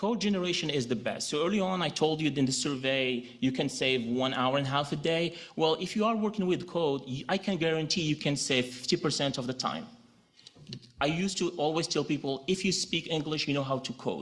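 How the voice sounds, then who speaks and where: A man speaks at a fairly quick pace with a Moroccan accent. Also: fairly high pitch for a man, ordinary pitch variation. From Morocco. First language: Moroccan Arabic. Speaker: legal technology director. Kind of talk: conference presentation.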